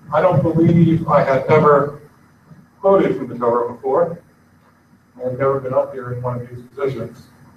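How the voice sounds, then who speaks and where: With audible room echo, a man's fairly high voice moves at a moderate pace with ordinary pitch variation, big swings in loudness, and long, frequent pauses. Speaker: synagogue lay leader. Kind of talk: congregational speech. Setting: synagogue service.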